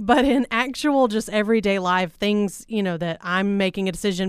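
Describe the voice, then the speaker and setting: A woman speaks in a normal speaking voice at a fairly quick pace. Her pitch is medium with ordinary variation, on a very clean recording with a silent background. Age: 30s. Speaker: radio host. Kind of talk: casual chat. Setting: studio.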